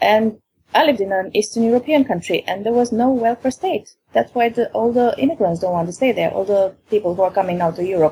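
In a Romanian accent, a woman speaks with a fairly high pitch, a dark, mellow tone, lively intonation and a somewhat breathy quality. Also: fairly quick pace. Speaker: caller. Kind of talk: call-in conversation. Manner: halting.

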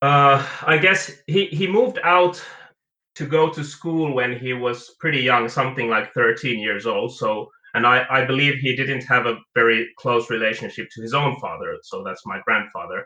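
A man's bright, sharp voice, fairly high in pitch, with ordinary pitch variation, a moderate pace and a non-native accent. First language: not English. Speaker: caller. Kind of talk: casual chat. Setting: phone call.

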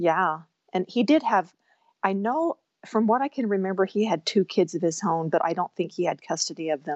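A woman speaks at a medium pitch and a moderate pace. Her intonation is lively. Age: 50s. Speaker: caller, mother of five. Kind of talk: call-in conversation. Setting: call-in. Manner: halting, frequent repetitions.

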